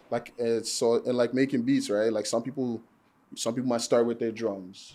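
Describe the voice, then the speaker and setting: Dark, mellow male voice with an American accent and fairly even intonation, on a very clean recording over a silent background. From Nigeria, Lagos. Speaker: music producer and barber. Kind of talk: casual podcast conversation.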